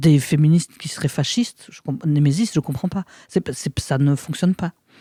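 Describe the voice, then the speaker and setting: On a very clean recording with a silent background and a dry, close sound with no echo, a woman speaks at a very deep, low pitch with a dark, mellow, somewhat breathy tone, ordinary pitch variation and a fairly quick pace. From Belgium, province of Luxembourg. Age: 40s. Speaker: actress and author. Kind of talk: casual chat. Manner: halting; animated.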